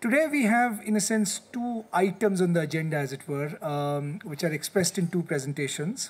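A man speaks at a high pitch with lively intonation. His pace is moderate, with hardly any pauses. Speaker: think tank head. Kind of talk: formal moderation. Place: meeting room. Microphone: podium.

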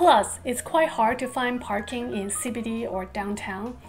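Faint music plays in the background. A woman with a high pitch talks at a moderate pace. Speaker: vlogger. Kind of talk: casual vlog chat. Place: home room.

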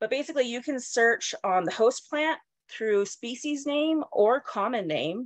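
Against a quiet background, a woman with an American accent speaks at a high pitch and a moderate pace, with lively intonation. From Colorado. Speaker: entomologist and university instructor. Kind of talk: lecture. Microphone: webcam.

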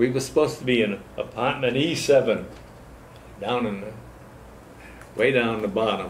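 The speaker has an American accent and moves at a moderate pace with ordinary pitch variation, leaving long, frequent pauses. Light background noise and audible room echo are present. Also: man. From Massachusetts (Fall River); Massachusetts. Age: 90s. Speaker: war veteran. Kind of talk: oral history interview; oral history interview answer. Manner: halting. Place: hall.

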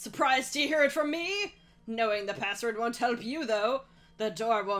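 The speaker is heard in plain reading aloud.

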